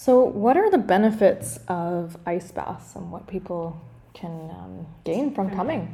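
With vocal fry and a dark, mellow tone, a woman speaks fairly slowly at a fairly low pitch, her lively intonation matched by big swings in loudness. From Canada. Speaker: podcast co-host, breathwork facilitator. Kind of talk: casual interview.

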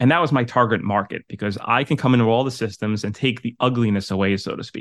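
A man talks fairly quickly with a New York accent. His pitch sits in the medium range. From New York City, Staten Island. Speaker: property management coach. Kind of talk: interview.

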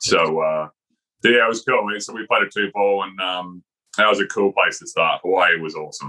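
The man talks at a moderate pace. He has an Australian accent. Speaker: golf teaching pro, former tour player. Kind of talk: casual chat.

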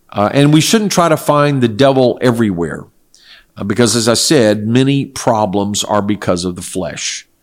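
At a medium pitch and moderate pace, a man with an American accent and a normal speaking voice uses lively intonation on a very clean recording with a silent background. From South Korea (missionary family, American). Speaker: pastor and Bible teacher. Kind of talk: religious Q&A interview. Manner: measured, with fillers.

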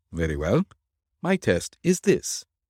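Doing a put-on character voice, a man speaks slowly at a low pitch with very wide pitch swings. His tone is slightly mellow with a slightly husky edge, and the sound is dry and close, with no echo. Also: very clean recording, silent background.

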